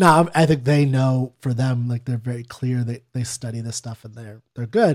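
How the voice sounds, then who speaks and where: In an ordinary speaking voice, a man talks at a moderate pace and medium pitch, with ordinary pitch variation and big swings in loudness. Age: 30s. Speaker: podcast co-host, non-expert. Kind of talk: casual chat.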